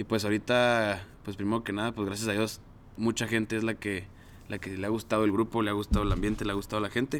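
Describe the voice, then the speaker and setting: Talking fairly quickly, a man with a fairly low pitch speaks in a Mexican accent. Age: 20s. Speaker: mechatronics engineer and alumni group coordinator. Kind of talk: casual chat.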